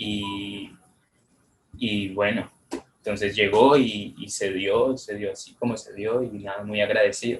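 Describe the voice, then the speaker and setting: Somewhat breathy and fairly low in pitch, a man speaks at a fairly slow pace with monotone, flat intonation and big swings in loudness. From Colombia. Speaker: photographer and poet, contest winner. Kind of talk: interview. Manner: halting.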